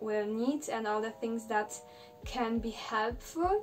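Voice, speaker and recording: Fairly slow speech from a woman with a non-native accent and fairly high pitch, amid noticeable background noise. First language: Polish. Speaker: dancer and vlogger. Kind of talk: vlog tutorial. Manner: hesitant, many fillers.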